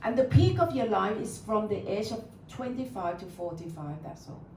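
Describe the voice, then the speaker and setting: A woman's pitch swings very widely as she talks at a moderate pace over noticeable background noise. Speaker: meditation teacher. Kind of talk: live talk to an audience. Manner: warm, welcoming.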